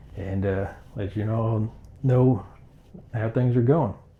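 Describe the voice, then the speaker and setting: Dark, mellow tone from a man, somewhat breathy and fairly low in pitch, with fairly even intonation at a fairly slow pace. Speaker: antiques reseller, small business owner. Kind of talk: casual vlog talk to camera. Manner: halting, not smooth.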